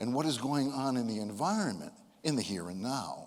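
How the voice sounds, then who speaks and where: A man speaks at medium pitch with lively intonation. Audible room echo surrounds his voice. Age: 70s. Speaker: motivational speaker. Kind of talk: speech to a live audience. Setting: stage with audience.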